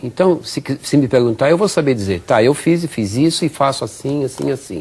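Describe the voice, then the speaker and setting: A man talks at a moderate pace with a medium pitch and lively intonation. His voice is somewhat breathy. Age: 60s. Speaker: physical education professor. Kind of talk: interview.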